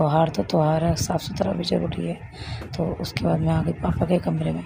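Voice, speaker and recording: A woman speaks over noticeable background noise. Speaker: vlogger, homemaker. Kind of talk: vlog voiceover narration.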